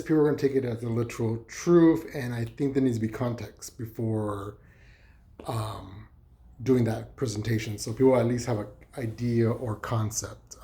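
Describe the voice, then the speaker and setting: This man's voice sits at a medium pitch and is somewhat breathy. He goes at a moderate pace. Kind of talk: casual talk to camera. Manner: hesitant, rambling, many fillers.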